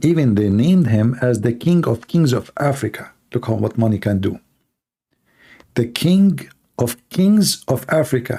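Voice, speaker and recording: A man with an Arabic accent speaks in a dark, mellow tone at medium pitch. His intonation is lively and his pace moderate. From Middle East. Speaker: live call-in show host on religion. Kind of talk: live call-in show chat. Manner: animated.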